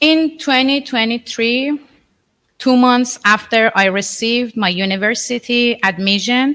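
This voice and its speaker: A woman with a Persian accent, high-pitched and bright and sharp in tone, at a fairly slow pace with ordinary pitch variation. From Iran. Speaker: artist. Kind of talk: artist talk to an audience. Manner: halting.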